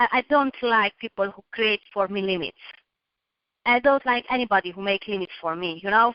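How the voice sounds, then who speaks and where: The speaker has a non-native accent and a moderate pace. Loudness swings widely, while pitch varies in an ordinary way. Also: woman, medium pitch for a woman. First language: not English. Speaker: motivational guest speaker. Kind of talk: motivational presentation.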